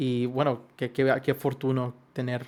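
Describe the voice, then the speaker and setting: A man's medium-pitched voice with a Yucatecan accent, at a very slow pace. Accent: Yucatecan Spanish, comes out at times. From Yucatán, Mexico (Mérida). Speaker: podcast co-host, composer. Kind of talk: casual podcast chat. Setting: home studio.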